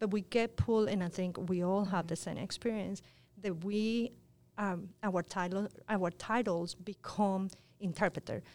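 In a very clean recording with a silent background, a woman speaks with a Spanish accent at a medium pitch. Her pace is fairly slow and her intonation fairly even. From Colombia, Cali. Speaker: health outreach coordinator. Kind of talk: panel discussion.

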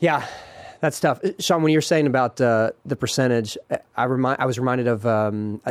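A man's plain, everyday voice at medium pitch, with ordinary pitch variation and a dry, close sound with no echo. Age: 40s. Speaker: podcast host. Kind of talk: casual chat.

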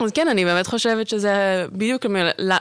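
Recorded very cleanly with a silent background and a dry, close sound with no echo, a woman speaks in a plain, everyday voice with ordinary pitch variation. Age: 20s. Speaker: archaeology student. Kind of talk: casual chat.

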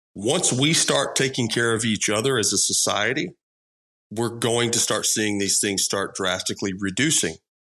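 A man with a Texan accent, a bright, sharp tone, medium pitch, ordinary pitch variation and moderate pace. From Texas Gulf Coast. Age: 40s. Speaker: school safety expert. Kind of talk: interview.

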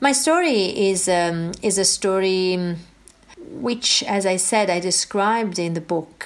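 A woman with an Italian accent, medium pitch, ordinary pitch variation and a very slow pace. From northern Italy (Piedmont). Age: 50s. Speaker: life coach and author. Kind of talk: improvised personal testimony. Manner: hesitant, many fillers.

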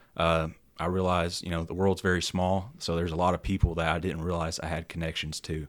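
In a Tennessee accent, a man talks at a fairly quick clip, his very deep, low voice flat and monotone. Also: very clean recording, silent background. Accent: Southern US (Tennessee). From Middle Tennessee (Lebanon). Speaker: salesperson. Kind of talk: casual chat. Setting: studio.

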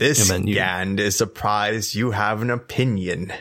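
At a fairly slow pace, a man speaks in a put-on character voice with a fairly low pitch. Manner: incredulous, menacing.

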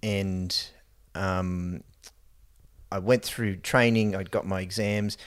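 In an Australian accent, the speaker talks at a very slow pace with a monotone, flat intonation and long, frequent pauses, on a very clean recording with a silent background. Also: man, fairly low pitch for a man. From Queensland, Australia (New Zealand-born). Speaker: emergency physician and entrepreneur. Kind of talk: casual chat.

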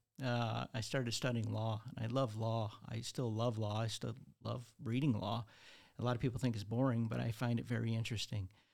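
A man's medium-pitched, monotone, flat delivery at a fairly quick pace, on a very clean recording with a silent background. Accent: Midwestern American. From Michigan (Redford). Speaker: financial advisor. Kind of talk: casual interview.

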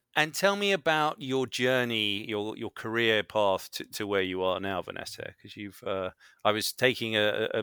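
A man with a British accent and a fairly low pitch speaks in a bright, sharp tone, in a very clean recording with a silent background. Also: dry, close sound with no echo. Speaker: podcast host, user research consultant. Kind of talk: casual interview.

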